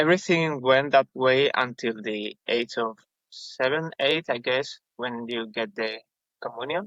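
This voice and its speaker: A man with a Spanish accent talks at a very slow pace in a bright, sharp tone and medium pitch, with ordinary pitch variation, a dry, close sound with no echo, and a quiet background. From Spain, village north of Madrid. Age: 20s. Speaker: podcast guest. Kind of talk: testimony. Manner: halting.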